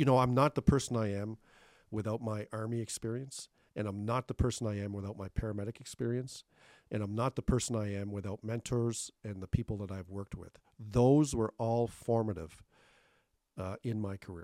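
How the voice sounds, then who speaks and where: A man with a plain, everyday voice and a Canadian accent talks at a fairly quick pace and a fairly low pitch. His intonation stays fairly even while his loudness swings widely, in a dry, close sound with no echo. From Thunder Bay, northwestern Ontario, Canada (from Cape Breton as young teen). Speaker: retiring city manager. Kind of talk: interview. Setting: studio.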